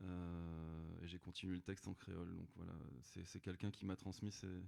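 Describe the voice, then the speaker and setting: Delivery is at a moderate pace with monotone, flat intonation. The tone is dark and mellow. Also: man, very deep, low pitch for a man. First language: Creole (speaking French). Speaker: singer-songwriter. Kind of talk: live concert chat between songs. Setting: livestreamed concert hall performance. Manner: halting, many fillers.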